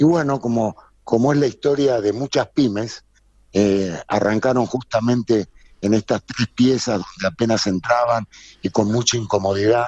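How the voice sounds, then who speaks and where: At a moderate pace, a man speaks in a plain, everyday voice with medium pitch, ordinary pitch variation and very even loudness, the sound dry and close with no echo. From Argentina, Buenos Aires. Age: 60s. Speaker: textile business owner. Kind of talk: interview.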